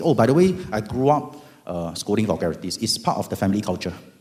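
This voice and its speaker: With a Singaporean accent and a dark, mellow tone, a man speaks at a fairly quick pace in a fairly low voice that makes very wide pitch swings. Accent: Singaporean English (Singlish). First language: Hokkien. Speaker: lawyer. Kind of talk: testimony. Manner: animated.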